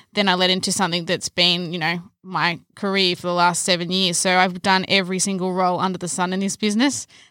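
A woman with an Australian accent, very fast and with hardly any pauses, medium in pitch with fairly even intonation and a bright, sharp tone, in a very clean recording with a silent background. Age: 20s. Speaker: events manager. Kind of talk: casual podcast chat.

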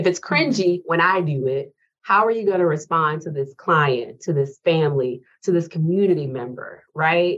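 Moderate pace and ordinary pitch variation. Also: woman, fairly low pitch for a woman. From rural South Carolina, US South. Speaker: university professor and speech-language pathologist. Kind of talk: interview.

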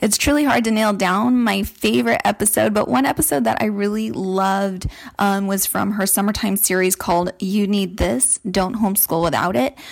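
An unremarkable speaking voice: a woman with an American accent talks at a moderate pace and medium pitch, with lively intonation and hardly any pauses, on a very clean recording with a silent background. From California. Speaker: listener, homeschooling mom. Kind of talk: recorded listener testimonial.

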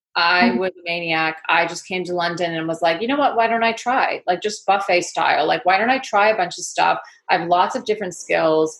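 A woman talks at a fairly quick pace with hardly any pauses. Her fairly low voice has ordinary pitch variation and big swings in loudness. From US Northeast, Connecticut and Manhattan. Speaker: leadership coach. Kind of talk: casual interview chat.

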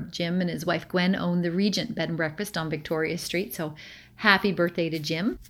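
On a very clean recording with a silent background, a woman speaks at a moderate pace in a normal speaking voice with a fairly low pitch. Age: 50s. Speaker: provincial politician. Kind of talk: constituency update address.

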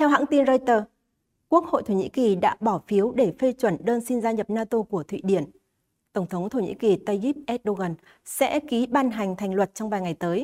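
A normal speaking voice with lively intonation moves at a moderate pace, its sound dry and close with no echo on a very clean recording with a silent background. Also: woman, fairly high pitch for a woman. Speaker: news presenter. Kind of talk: news reading. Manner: formal.

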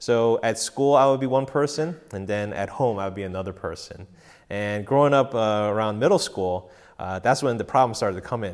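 In a very clean recording with a silent background, a man with an American accent speaks at a medium pitch with ordinary pitch variation, in an unremarkable speaking voice. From Korean American, grew up mostly in the US. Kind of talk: personal testimony. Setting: home recording session with live audience.

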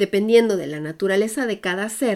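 A woman with an ordinary speaking voice, medium in pitch with lively intonation, in a very clean recording with a silent background. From Mexico, Puebla. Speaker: podcast host and expat coach. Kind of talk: scripted narration.

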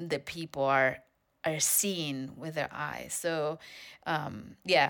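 In a Spanish accent, a woman talks at a fairly slow pace with a very deep, low pitch and a bright, sharp tone. Her intonation stays fairly even on a very clean recording with a silent background. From Spain. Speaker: dance company artistic director. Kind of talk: interview.

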